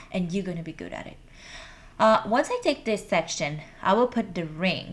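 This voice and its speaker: With a Brazilian Portuguese accent, a woman speaks at a medium pitch. Her intonation is lively and her pace moderate. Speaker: hair extension stylist. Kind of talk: tutorial.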